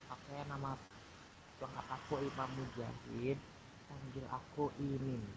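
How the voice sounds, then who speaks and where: The speech moves at a fairly slow pace with long, frequent pauses. Intonation stays monotone and flat. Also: man. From Indonesia, Sumedang, West Java. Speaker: new university student. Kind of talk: casual introduction chat.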